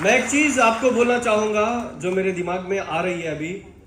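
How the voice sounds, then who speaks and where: Audible room echo surrounds a man who speaks in an animated tone. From Ballari, Karnataka, South India. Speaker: network marketing motivational speaker. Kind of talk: motivational seminar talk. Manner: animated, interactive with audience.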